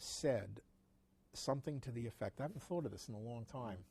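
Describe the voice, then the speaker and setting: Somewhat breathy and dark, mellow in tone, this voice moves at a fairly quick pace with an American accent. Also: man. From New York City. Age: 60s. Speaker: antiquarian bookseller. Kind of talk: interview. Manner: halting, many fillers.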